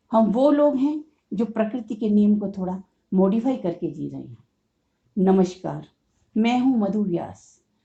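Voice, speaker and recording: Somewhat breathy, a woman speaks with big swings in loudness and long, frequent pauses. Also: medium pitch for a woman, ordinary pitch variation. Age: 60s. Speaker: COPD patient and awareness podcaster. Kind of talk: motivational monologue.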